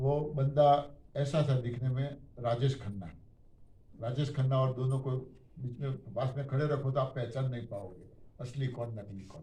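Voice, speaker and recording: With big swings in loudness and long, frequent pauses, a man speaks in a medium-pitched, somewhat breathy voice with a dark, mellow tone and ordinary pitch variation, with audible room echo. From Gujarat, India. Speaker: diet system speaker. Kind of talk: testimony. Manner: animated.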